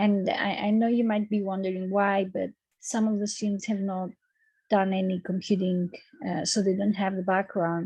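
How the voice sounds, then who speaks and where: A woman with a Greek accent speaks at medium pitch and a moderate pace, somewhat breathy, in a dark, mellow tone with monotone, flat intonation. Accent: Greek accent, noticeable. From Greece. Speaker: university lecturer. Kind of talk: lecture. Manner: hesitant, many fillers.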